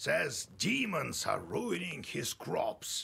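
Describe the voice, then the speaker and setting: A man performs a put-on character voice. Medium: video game. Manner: gruff, with hesitations.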